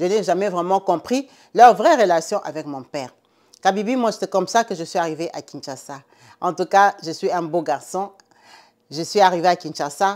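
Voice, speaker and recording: A woman talks at a moderate pace with ordinary pitch variation, big swings in loudness and long, frequent pauses, in a very clean recording with a silent background. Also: medium pitch for a woman. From Central/West Africa (francophone). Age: 40s. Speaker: storyteller. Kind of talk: storytelling.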